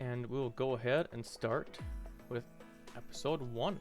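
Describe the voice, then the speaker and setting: A man's medium-pitched voice at a fairly slow pace with ordinary pitch variation, music in the background. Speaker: hobby voice-over narrator. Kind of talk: casual talk to camera. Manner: casual, playful.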